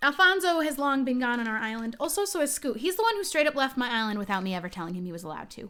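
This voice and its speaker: A woman with an American accent talks very fast in a raised, projected, high-pitched voice with a bright, sharp tone, very wide pitch swings and big swings in loudness. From New Jersey. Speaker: gaming streamer. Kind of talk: live stream chat.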